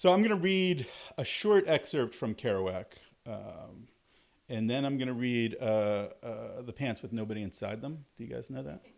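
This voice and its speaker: A man with an American accent talks at a medium pitch, his voice swinging very widely in pitch and greatly in loudness. The recording is very clean, with a silent background. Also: moderate pace. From US South, southern Alabama. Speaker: university lecturer and author. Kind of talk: public talk at a store event. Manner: many fillers and repetitions.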